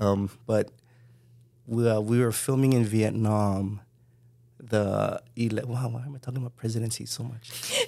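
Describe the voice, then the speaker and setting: A man's medium-pitched voice with a Hawaiian accent, flat and monotone, at a moderate pace, broken by long, frequent pauses, over noticeable background noise. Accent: Hawaii local English. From Hawaii, Kalihi (Honolulu). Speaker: filmmaker. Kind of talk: casual chat.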